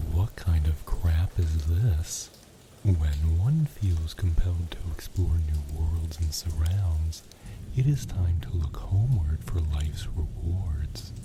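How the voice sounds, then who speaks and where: Noticeable background noise sits behind the voice. The pace is very slow. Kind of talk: ASMR role-play reading old newspaper clippings and journal entries for sleep. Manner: casual, reading aloud with occasional dry commentary.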